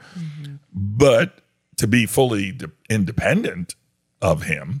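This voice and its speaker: A man's voice swings very widely in pitch. It sounds somewhat breathy. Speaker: pastor and podcast host. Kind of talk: casual chat. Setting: studio. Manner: animated.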